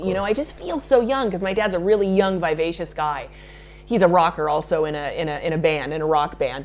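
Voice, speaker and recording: Over noticeable background noise, a woman with an American accent speaks fairly quickly at a medium pitch, with lively intonation. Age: 30s. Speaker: makeup artist. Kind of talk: interview.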